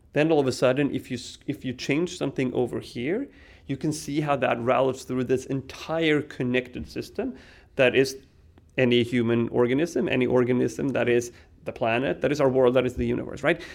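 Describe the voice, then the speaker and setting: The voice has vocal fry and a Swedish accent. It moves at a fairly quick pace. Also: man, medium pitch for a man. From Sweden. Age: 40s. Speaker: tech company CEO. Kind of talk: casual interview. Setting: conference venue.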